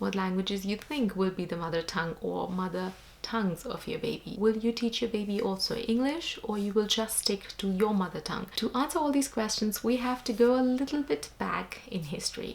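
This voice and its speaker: A woman with an Indian accent talks at a fairly quick pace with hardly any pauses. Her fairly high voice has ordinary pitch variation, and there is noticeable background noise. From India (Jaipur, Rajasthan). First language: Hindi. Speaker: vlogger. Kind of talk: vlog talk to camera.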